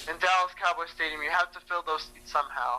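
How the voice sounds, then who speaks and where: A man talks very fast in a high voice, his intonation fairly even. Noticeable background noise sits behind him. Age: 20s. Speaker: wrestling fan. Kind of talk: casual interview.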